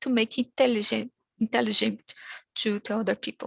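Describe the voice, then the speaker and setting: A woman speaks at a fairly quick pace with a Brazilian accent. The sound is dry and close, with no echo. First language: Portuguese. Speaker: academic conference speaker. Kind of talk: conference presentation. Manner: halting.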